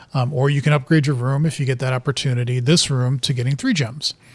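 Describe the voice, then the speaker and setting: A man with an American accent talks at a fairly quick pace in a medium pitch. His voice is somewhat breathy, with fairly even intonation. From US Midwest (Wisconsin). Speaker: video game streamer. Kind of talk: gameplay commentary. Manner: casual, with fillers and restarts.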